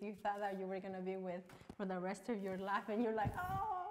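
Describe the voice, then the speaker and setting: Over light background noise, a woman with a Mexican accent speaks in an animated tone. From Mexico. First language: Spanish. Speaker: online talk show host. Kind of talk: casual interview. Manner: animated, excitable. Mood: cheerful, laughing. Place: studio.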